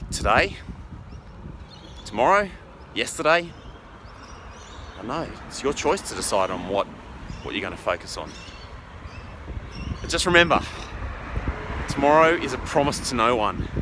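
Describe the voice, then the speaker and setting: With long, frequent pauses at a moderate pace, a man speaks at a fairly high pitch with very wide pitch swings and big swings in loudness over noticeable background noise. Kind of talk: casual vlog talk to camera on a morning walk. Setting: outdoors.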